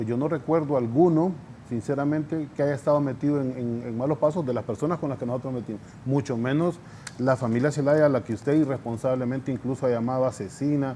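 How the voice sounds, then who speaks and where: The speaker is a man going at a very fast pace. His intonation stays fairly even. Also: medium pitch for a man. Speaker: politician. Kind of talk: heated debate. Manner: halting.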